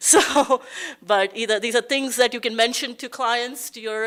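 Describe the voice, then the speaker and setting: Her voice, a woman's, sits fairly high in pitch. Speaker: tax law expert, panel presenter. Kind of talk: panel presentation. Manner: fast.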